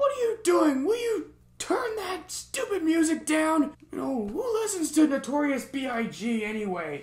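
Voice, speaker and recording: Using a put-on character voice, a man speaks at an extremely high pitch with very wide pitch swings and a moderate pace. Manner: cranky, grumpy, complaining.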